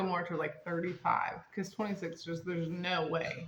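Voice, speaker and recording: Against noticeable background noise, a woman with a fairly low pitch speaks at a fairly quick pace. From North Carolina, partly raised in Las Vegas. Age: 30s. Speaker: host's niece, guest. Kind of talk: casual family chat. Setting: at home with dog and family. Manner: animated, joking.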